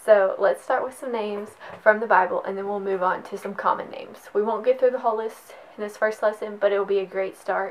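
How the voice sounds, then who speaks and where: With noticeable background noise, a woman talks at a very fast pace in a fairly high, monotone, flat voice whose loudness swings widely. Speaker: Spanish language teacher. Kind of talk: tutorial. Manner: casual, encouraging.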